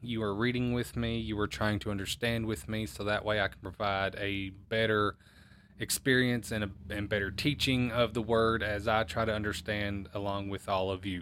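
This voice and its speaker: The man's fairly low voice moves along at a moderate pace. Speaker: podcast host who teaches the Bible. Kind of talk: Bible teaching podcast with prayer. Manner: trying to sound more upbeat and excited, not monotone.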